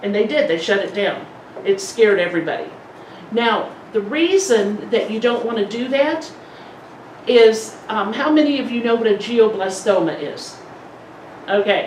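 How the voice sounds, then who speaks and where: Over noticeable background noise and audible room echo, a woman with a fairly high voice speaks at a moderate pace, her intonation lively and broken by long, frequent pauses. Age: 60s. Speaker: polio support group speaker. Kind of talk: presentation to a support group. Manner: conversational.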